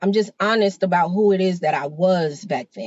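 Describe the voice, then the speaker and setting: A woman's animated tone comes through at a moderate pace. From New York. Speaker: podcast co-host. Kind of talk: casual chat.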